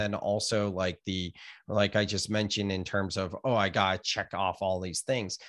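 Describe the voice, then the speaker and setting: A man speaks with a Californian accent at a fairly low pitch. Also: very clean recording, silent background. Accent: Californian American. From US West Coast, California (Gilroy). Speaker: author and yoga teacher. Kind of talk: casual interview chat.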